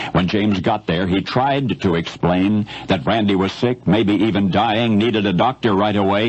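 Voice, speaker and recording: A man with an American accent talks at a moderate pace in a fairly low pitch. Noticeable background noise sits behind him. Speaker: radio broadcaster. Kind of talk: radio news commentary storytelling.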